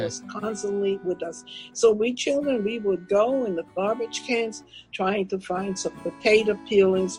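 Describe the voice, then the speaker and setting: Over music in the background, the speaker uses lively intonation with a German accent. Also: woman, medium pitch for a woman. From Germany. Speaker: Holocaust survivor, author and public speaker. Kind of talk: interview answer.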